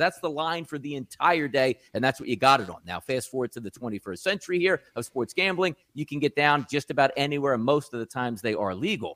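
A man with an American accent, very fast and full of vocal fry, recorded dry and close with no echo. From South Jersey, US. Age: 40s. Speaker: sports betting analyst. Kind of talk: podcast interview.

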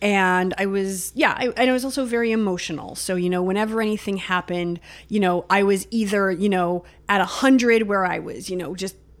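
Woman, a normal speaking voice, medium pitch, ordinary pitch variation, moderate pace. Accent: Canadian. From Ontario suburbs east of Toronto, Canada. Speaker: guest sharing her mental health experience. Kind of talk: casual interview, personal testimony.

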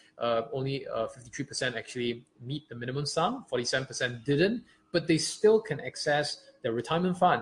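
A man speaks at a fairly high pitch and a fairly quick pace, somewhat breathy. His loudness swings widely. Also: lively intonation. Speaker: podcast co-host. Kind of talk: explainer podcast chat.

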